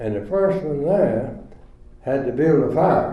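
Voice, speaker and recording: Audible room echo surrounds a voice in a North Carolina accent. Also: man. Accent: Southern US (North Carolina). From US South, rural Chatham County, North Carolina. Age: 90s. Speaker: retirement community resident. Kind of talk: storytelling.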